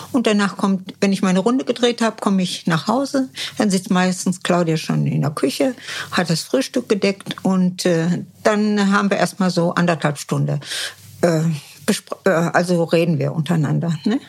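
With lively intonation and very even loudness, a woman speaks at a moderate pace and medium pitch over noticeable background noise. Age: 70s. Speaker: mother of a reality TV contestant. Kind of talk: interview. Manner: halting.

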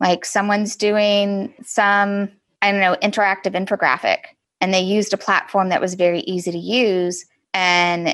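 A woman with an American accent and a plain, everyday voice speaks at medium pitch, at a fairly slow pace, with fairly even intonation. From Texas, Galveston. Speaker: content marketing director. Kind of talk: interview.

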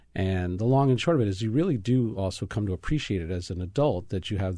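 A man with an American accent speaks at a fairly quick pace, his pitch fairly low with ordinary variation and his tone dark and mellow. The recording is very clean, with a silent background. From New York, Brooklyn. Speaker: chef and restaurateur. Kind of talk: casual chat.

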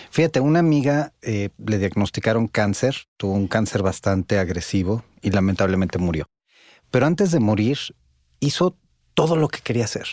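At a moderate pace, a man with a normal speaking voice, fairly low pitch and lively intonation comes through on a very clean recording with a silent background and a dry, close sound with no echo. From Italy. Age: 40s. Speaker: podcast co-host and psychologist. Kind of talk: casual chat.

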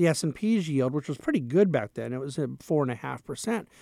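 This man has a plain, everyday voice, fairly high in pitch, moving at a fairly quick pace with lively intonation on a very clean recording with a silent background. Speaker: money manager. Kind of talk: interview.

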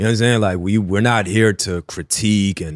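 A man speaks with a New York accent in a dry, close sound with no echo. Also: very clean recording, silent background. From Queens, New York City. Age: 30s. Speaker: food content creator, former journalist. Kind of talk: casual chat.

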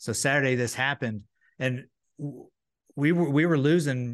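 He has a normal speaking voice at a moderate pace, with ordinary pitch variation. The background is quiet. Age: 40s. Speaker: former baseball pitcher and broadcaster. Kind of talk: casual chat. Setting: video call.

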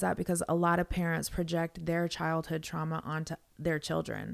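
A woman with a normal speaking voice, fairly low in pitch and fairly quick in pace, on a very clean recording with a silent background. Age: 40s. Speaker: podcast host. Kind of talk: casual interview. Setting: studio.

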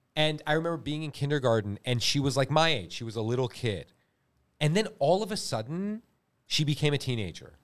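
In a very clean recording with a silent background, a man with an American accent talks fairly quickly with a fairly high pitch, lively intonation and a plain, everyday voice. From California. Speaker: actor. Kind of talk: casual chat.

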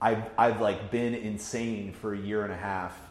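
A man has an unremarkable speaking voice with a fairly low pitch. His pace is moderate. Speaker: digital media editor. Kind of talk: casual chat.

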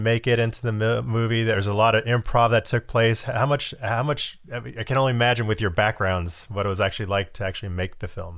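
The speaker has an ordinary speaking voice and fairly even intonation. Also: man. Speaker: podcast interviewer. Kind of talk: interview, casual chat. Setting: video call.

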